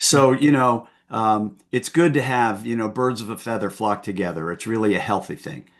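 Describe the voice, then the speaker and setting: A man speaks in a normal speaking voice at a medium pitch and a moderate pace. His pitch varies in an ordinary way, and he hardly pauses. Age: 60s. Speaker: former company CEO and founder. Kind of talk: interview conversation.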